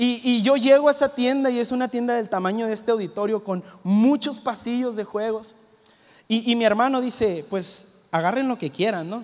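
The pace is moderate. The pitch variation is ordinary. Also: man, extremely high pitch for a man. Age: 20s. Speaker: youth pastor. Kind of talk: sermon. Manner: halting, repeats words. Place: church. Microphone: handheld.

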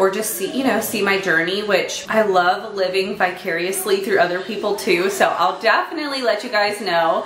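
A woman talks at a moderate pace with hardly any pauses and ordinary pitch variation. Light background noise and audible room echo are present. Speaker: mom vlogger. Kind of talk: casual vlog chat. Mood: chatty, lightly laughing. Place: kitchen. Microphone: phone near.

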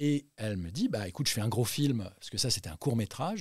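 His intonation is lively. This man sounds somewhat breathy. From Central Africa. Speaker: actor. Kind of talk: interview. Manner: animated.

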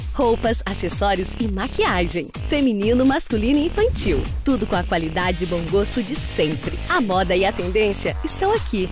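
A woman speaks at a moderate pace over music in the background. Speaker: voice actor. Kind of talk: TV commercial read; retail store advertisement.

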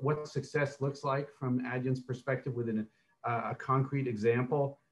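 This man's voice is somewhat breathy. His pitch sits in the medium range. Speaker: panel moderator. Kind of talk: panel discussion. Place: home room. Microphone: video call.

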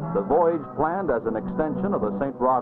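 A man talks at a moderate pace. Behind him, clear music can be heard. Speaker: documentary narrator. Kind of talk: documentary narration. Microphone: old recording.

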